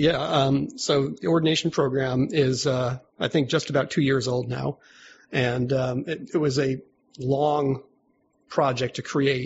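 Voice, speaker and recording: Speaking with an American accent at a moderate pace, a man with a medium-pitched, somewhat breathy voice keeps his intonation fairly even. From US Northeast, Albany, New York. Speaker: religious organization leader. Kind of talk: casual interview.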